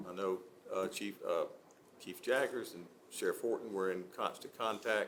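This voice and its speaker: A man with an Alabama accent at a moderate pace, with long, frequent pauses. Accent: US Southern (Alabama). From Gadsden, Alabama. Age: 60s. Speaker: city council member. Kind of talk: public meeting remarks. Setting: city council meeting. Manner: halting, many fillers.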